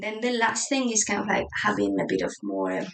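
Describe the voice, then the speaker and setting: There is a Spanish accent in this woman's voice. She keeps a moderate pace. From Spain. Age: 30s. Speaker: journaling YouTuber. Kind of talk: casual chat. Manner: hesitant, many fillers.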